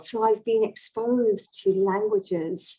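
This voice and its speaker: A woman speaks with a British accent. Her pitch variation is ordinary. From England. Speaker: language coaching director. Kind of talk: interview.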